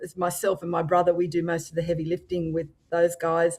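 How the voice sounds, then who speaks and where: At a fairly quick pace, a woman with a fairly low pitch speaks in an Australian accent. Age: 60s. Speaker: motorcycle influencer. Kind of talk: podcast interview. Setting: live-streamed podcast.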